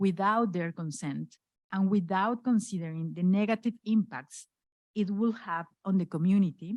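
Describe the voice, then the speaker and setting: Someone with a Spanish accent speaks at a moderate pace with ordinary pitch variation, recorded dry and close with no echo against a very clean, silent background. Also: woman. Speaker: human rights lawyer, NGO director. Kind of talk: acceptance speech read aloud. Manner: halting.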